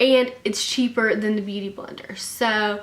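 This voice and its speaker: Noticeable background noise sits under a voice with a Southern US accent. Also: woman. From Alabama, US. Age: 20s. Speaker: beauty vlogger. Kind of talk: casual talk to camera.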